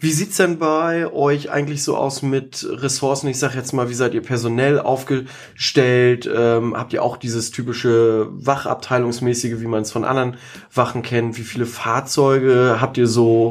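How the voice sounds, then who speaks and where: In an unremarkable speaking voice, the speaker keeps a moderate pace and fairly even intonation with hardly any pauses. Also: man, medium pitch for a man. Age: 30s. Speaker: podcast host. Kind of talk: podcast interview. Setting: on location at fire station, plexiglass screens.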